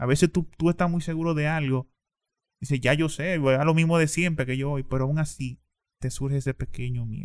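A man has an ordinary speaking voice at a fairly high pitch. His pace is fairly quick and his intonation fairly even. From Dominican Republic, eastern region. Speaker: poet. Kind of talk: interview.

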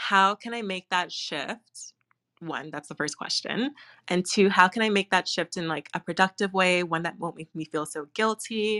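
A woman speaks at medium pitch and a moderate pace, with ordinary pitch variation and big swings in loudness. Her tone is bright and sharp, and the very clean recording has a dry, close sound, no echo and a silent background. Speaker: room host, community founder. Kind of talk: casual chat.

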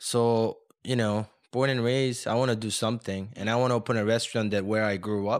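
A man talks at a fairly quick pace in a monotone, flat intonation, with a medium pitch, very even loudness, and a very clean recording with a silent background. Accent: Korean. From South Korea, moved to the US at 14. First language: Korean. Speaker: chef and restaurateur. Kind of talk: interview.

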